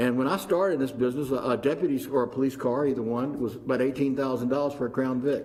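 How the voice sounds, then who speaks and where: A man talks at a very fast pace with a medium pitch. Noticeable background noise is present. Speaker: insurance pool executive. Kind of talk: formal presentation at public meeting. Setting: county commissioners meeting room. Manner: halting, many fillers.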